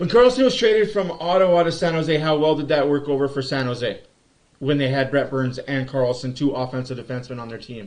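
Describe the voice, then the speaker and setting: A man with a fairly high pitch talks at a very fast pace, showing ordinary pitch variation. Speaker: sports livestream host. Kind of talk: live game commentary and fan chat. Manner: animated.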